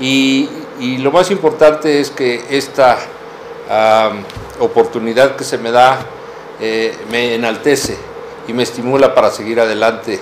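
The delivery is fairly slow, with long, frequent pauses and ordinary pitch variation. Light background noise can be heard. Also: man, medium pitch for a man. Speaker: professor and doctoral student. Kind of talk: interview. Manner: halting. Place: office. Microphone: camera far.

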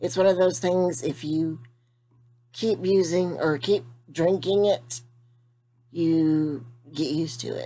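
With long, frequent pauses, a woman speaks at a very slow pace in a dark, mellow tone, with a fairly low pitch and ordinary pitch variation. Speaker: vlogger. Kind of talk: casual vlog chat. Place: home room. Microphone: webcam.

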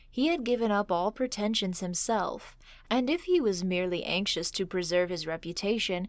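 A woman speaks at a medium pitch and moderate pace in an ordinary speaking voice, with ordinary pitch variation. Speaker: storyteller. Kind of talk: horror story reading.

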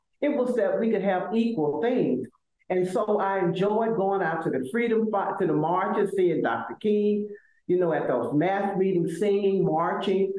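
With audible room echo, a woman in an Alabama accent talks at a fairly slow pace, her intonation lively and her loudness very even. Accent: Southern US (Alabama). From US South, Selma, Alabama. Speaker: law professor and university administrator; law professor. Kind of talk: interview. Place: office. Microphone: video call.

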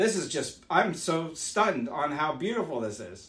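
A man's fairly high, fairly bright voice with big pitch swings at a fairly slow pace

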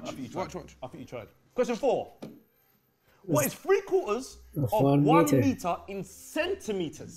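Long, frequent pauses break up a man's very slow speech, heard over noticeable background noise. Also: big swings in loudness. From Africa. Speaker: quiz host, former teacher. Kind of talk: playful, classroom-style quizzing. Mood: jokey, teasing. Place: studio.

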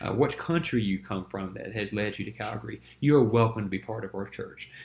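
A man with an American accent sounds somewhat breathy, talking at a fairly quick pace with ordinary pitch variation. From US South, Winston-Salem, North Carolina; North Carolina. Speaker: church planter and ministry teacher; church planter presenting course lecture. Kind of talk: lecture. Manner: halting, many fillers. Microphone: webcam.

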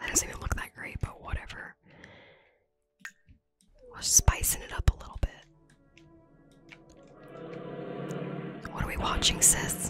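A woman whispers at a fairly slow pace with long, frequent pauses. Her loudness swings widely over faint background music. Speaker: ASMR content creator and gamer; ASMR content creator, gamer. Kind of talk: casual gameplay commentary to camera. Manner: whispered, close-up. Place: home room.

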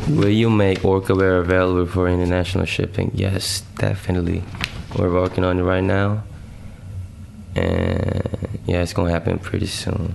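Over noticeable background noise, a man talks in a flat monotone at a very deep, low pitch with very even loudness. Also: moderate pace. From South Korea. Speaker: rapper. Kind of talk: casual interview. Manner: laid-back.

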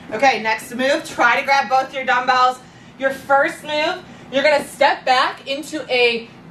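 Ordinary pitch variation, with audible room echo and light background noise. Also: woman. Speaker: fitness instructor. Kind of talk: workout instruction. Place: home room.

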